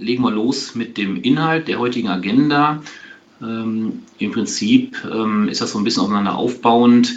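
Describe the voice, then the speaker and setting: Against noticeable background noise and audible room echo, a man talks at a fairly slow pace with a medium pitch and ordinary pitch variation. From Aachen, western Germany. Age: 40s. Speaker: tax advisor. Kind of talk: webinar lecture. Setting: video webinar. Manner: hesitant, many filler sounds.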